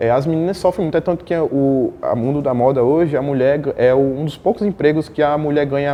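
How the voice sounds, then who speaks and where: A man with a strong northeastern Brazilian accent, a fairly high pitch, ordinary pitch variation and a fairly quick pace. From Northeast Brazil. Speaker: fashion model. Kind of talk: interview.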